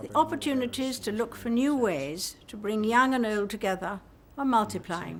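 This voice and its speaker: Against noticeable background noise, a woman speaks at a fairly high pitch with lively intonation. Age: 80s+. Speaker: monarch giving a televised address. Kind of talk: formal royal address.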